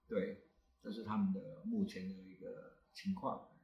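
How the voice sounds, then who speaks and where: Speech comes at a fairly slow pace, with the room echo clearly audible. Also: man. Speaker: astronomy club founder and teacher. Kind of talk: casual panel talk.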